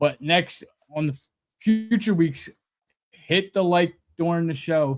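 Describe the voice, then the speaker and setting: With a Philadelphia accent, a man speaks fairly slowly at a high pitch with ordinary pitch variation. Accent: Delco. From Delaware County, Pennsylvania. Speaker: sports talk show co-host. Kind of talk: casual chat. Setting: live stream.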